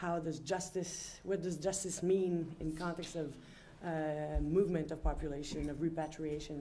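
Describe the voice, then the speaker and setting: Over audible room echo, a woman speaks at a moderate pace in a dark, mellow tone, her fairly low pitch held monotone and flat. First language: French. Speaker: panel chair, law professor. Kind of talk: panel introduction. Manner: halting, many fillers.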